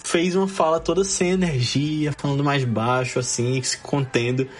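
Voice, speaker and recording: A man talks at a moderate pace. His pitch swings very widely over noticeable background noise. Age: 20s. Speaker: podcast host guest. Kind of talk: casual chat.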